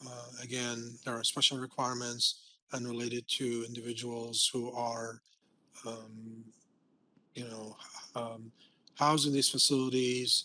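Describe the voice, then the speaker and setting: A man's medium-pitched, bright and sharp voice in a flat monotone, fairly slow with long, frequent pauses and big swings in loudness, over a quiet background. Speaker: building code presenter. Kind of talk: webinar lecture. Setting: online webinar. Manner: hesitant, many fillers.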